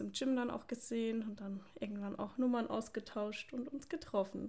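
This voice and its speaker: The speaker is a woman. She talks at a moderate pace with ordinary pitch variation. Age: 20s. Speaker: podcast co-host, police officer and online fitness coach. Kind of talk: casual chat.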